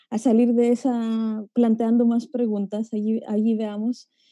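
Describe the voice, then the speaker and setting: In a Greek accent, this voice has a dark, mellow tone, recorded dry and close with no echo. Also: woman. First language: Greek (speaking Spanish). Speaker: geographer, academic. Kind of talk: panel discussion talk. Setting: video call. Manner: halting.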